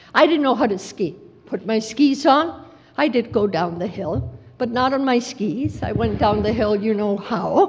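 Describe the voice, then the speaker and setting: A woman speaks at a moderate pace with a fairly high pitch and lively intonation, and audible room echo surrounds her voice. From Mexico City. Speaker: education program director. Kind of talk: conference talk.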